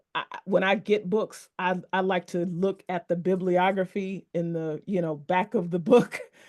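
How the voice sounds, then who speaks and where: An American accent at a fairly slow pace against a quiet background. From Texas, Dallas-Fort Worth area. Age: 40s. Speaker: book collector and interview host. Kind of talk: casual interview conversation.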